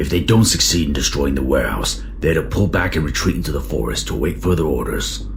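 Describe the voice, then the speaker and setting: A put-on character voice moves at a fairly quick pace over loud background noise. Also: man. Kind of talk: audio drama performance.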